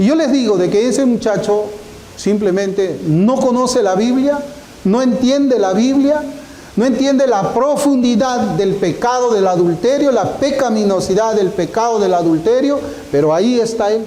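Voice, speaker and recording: The speaker's loudness stays very even and the pitch varies in an ordinary way, with audible room echo and noticeable background noise. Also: man, high pitch for a man, moderate pace. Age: 60s. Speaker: pastor. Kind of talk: sermon.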